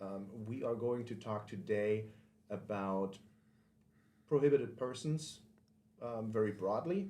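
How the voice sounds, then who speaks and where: A man's dark, mellow tone, fairly slow, with long, frequent pauses, ordinary pitch variation and audible room echo. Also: fairly low pitch for a man. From Germany. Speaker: podcast host and firearms instructor. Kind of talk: podcast monologue intro. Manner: casual with frequent filler ums.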